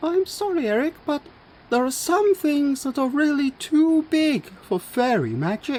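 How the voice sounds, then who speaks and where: Someone uses a put-on character voice pitched high. The pace is moderate. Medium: read story.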